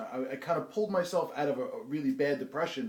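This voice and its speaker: A very fast pace and ordinary pitch variation in a New Jersey accent, with noticeable background noise. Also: man. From New Jersey, Bayonne. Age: 30s. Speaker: interviewee. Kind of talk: interview. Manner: halting.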